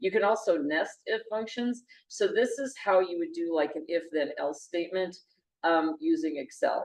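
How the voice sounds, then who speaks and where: Swinging very widely in pitch around a medium level, a woman talks at a moderate pace. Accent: Montana. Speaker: university lecturer. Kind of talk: lecture. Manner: halting, many fillers.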